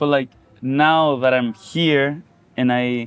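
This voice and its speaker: A man speaks with a Spanish accent at a medium pitch. His intonation is monotone and flat. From Chile. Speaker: musician. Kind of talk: casual interview conversation. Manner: meandering, halting.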